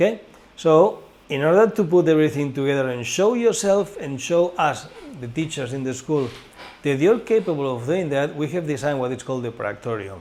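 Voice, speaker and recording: The speaker is a man. He moves along at a moderate pace. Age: 60s. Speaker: director of a training school. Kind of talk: informational course presentation. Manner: halting.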